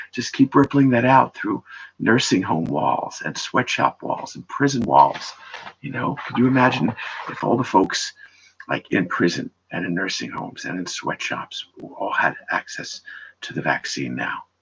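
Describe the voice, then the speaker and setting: At a moderate pace, a man speaks with big swings in loudness, recorded close and dry with no echo. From New York City. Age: 60s. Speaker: livestreamer, musician. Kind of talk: casual livestream monologue. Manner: halting, rambling restarts. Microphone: echoey sound.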